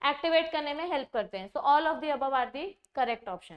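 A woman at a moderate pace against a quiet background. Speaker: biology teacher. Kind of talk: lecture. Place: studio.

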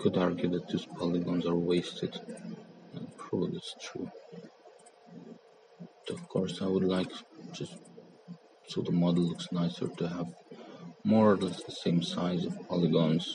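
Over noticeable background noise, a man mumbles with long, frequent pauses. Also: moderate pace. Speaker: 3D artist. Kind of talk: software tutorial narration. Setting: mobile phone recording. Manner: mumbling. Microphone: phone near.

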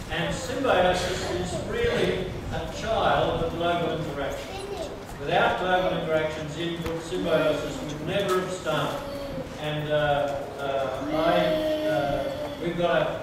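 Strong room echo and noticeable background noise surround a man's voice. He speaks fairly slowly with ordinary pitch variation. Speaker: guest. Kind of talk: sermon. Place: hall.

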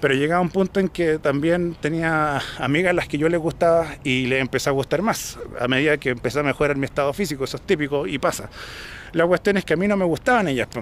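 A man with a Chilean accent, fairly high in pitch, at a very fast pace with ordinary pitch variation, light background noise and a dry sound with no echo. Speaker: vlogger. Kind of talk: casual vlog monologue. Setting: outdoors, hill park after cycling. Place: open country. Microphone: phone near.

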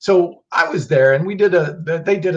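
Against a quiet background, a man talks with lively intonation in a somewhat breathy voice. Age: 50s. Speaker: supplement company founder and host; host. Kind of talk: educational livestream talk. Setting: livestream video. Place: home room. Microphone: webcam.

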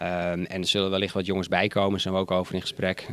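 Very fast in pace, a man speaks in a fairly low pitch. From Netherlands, West-Friesland (North Holland); North Holland, Netherlands. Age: 40s. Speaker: football coach. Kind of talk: interview. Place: hall. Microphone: handheld.

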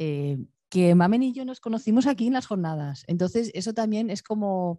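A woman's dark, mellow tone in a dry sound with no echo against a quiet background. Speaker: visual artist; guest. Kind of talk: Q&A answers after a performance. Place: stage. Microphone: handheld.

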